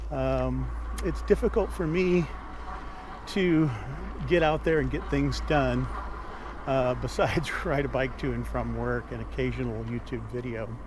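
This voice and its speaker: A man with an American accent talks at a fairly slow pace, with long, frequent pauses. Noticeable background noise is present. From Omaha, Nebraska, USA. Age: 60s. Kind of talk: casual talk to camera. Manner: conversational, with frequent filler words.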